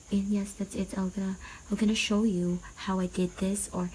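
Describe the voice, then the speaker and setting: A quiet woman's voice in a Visayan Filipino accent, at a moderate pace. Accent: Filipino (Cebuano) English. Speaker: vlogger and seamstress. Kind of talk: casual vlog. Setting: at home at night. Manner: quiet, lowered voice.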